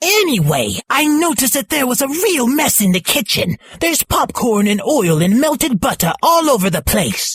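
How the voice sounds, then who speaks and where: In a put-on character voice with a fairly high pitch, the speaker moves at a moderate pace with very wide pitch swings and hardly any pauses. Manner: annoyed, nagging.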